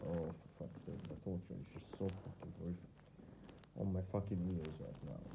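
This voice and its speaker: A man's dark, mellow voice with an Arabic accent, ordinary pitch variation, and audible room echo. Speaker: vlogger. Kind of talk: personal video diary. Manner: halting.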